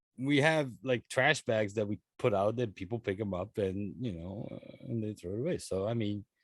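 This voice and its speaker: The dry, close sound with no echo carries a man's fairly low voice and ordinary pitch variation. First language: not English. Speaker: podcast co-host. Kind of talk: casual chat.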